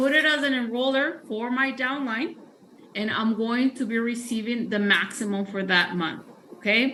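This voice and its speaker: At a moderate pace, a woman with a high voice talks over noticeable background noise. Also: ordinary pitch variation. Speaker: sales trainer. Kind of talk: training presentation.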